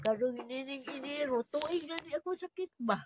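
A woman with a high voice talks at a moderate pace, the sound dry with no echo but with noticeable background noise. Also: ordinary pitch variation. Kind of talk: interview answer. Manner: frail elderly voice, weary. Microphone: phone near.

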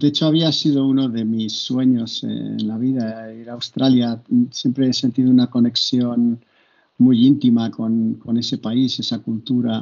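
Someone speaks at a fairly slow pace with monotone, flat intonation over a quiet background. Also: man. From Spain, Barcelona. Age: 60s. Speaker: university professor and coach. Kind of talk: interview. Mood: calm, reflective. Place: home room. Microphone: video call.

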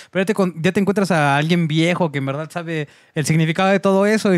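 A man with a Mexican accent speaks at a very fast pace and a high pitch, with ordinary pitch variation. The sound is dry with no echo, over a quiet background. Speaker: drummer; podcast guest. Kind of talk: casual chat. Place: studio. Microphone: studio mic.

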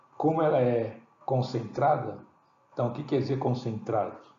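Through noticeable background noise and audible room echo, a man speaks at a moderate pace and medium pitch with ordinary pitch variation. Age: 60s. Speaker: product promoter. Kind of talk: sales pitch. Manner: halting.

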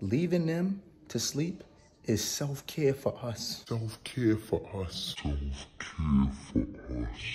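A man's somewhat breathy voice with a dark, mellow tone, over light background noise. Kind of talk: casual comedic vlog chat. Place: home room. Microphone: phone near.

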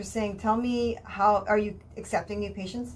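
Over light background noise, a woman speaks at a moderate pace. Her intonation stays monotone and flat. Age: 50s. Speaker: radio health show host. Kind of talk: casual interview chat. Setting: radio studio. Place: studio. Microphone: studio mic.

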